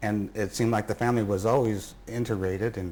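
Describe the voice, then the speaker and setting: This man has a Midwestern US accent and a fairly low pitch. He talks at a fairly quick pace with fairly even intonation. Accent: US Midwest. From Indianapolis. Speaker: interviewee recalling family history. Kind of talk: interview. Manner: halting.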